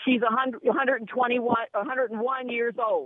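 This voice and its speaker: This is a woman with an American accent. Her voice is high-pitched. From Los Angeles. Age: 60s. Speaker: radio caller. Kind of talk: talk radio call-in. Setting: phone call.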